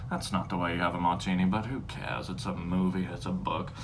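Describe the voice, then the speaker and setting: A man with an American accent and lively intonation at a fairly quick pace, with audible room echo and noticeable background noise. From Texas. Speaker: home cocktail video host. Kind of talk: casual comedic tutorial. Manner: rambling, halting with fillers.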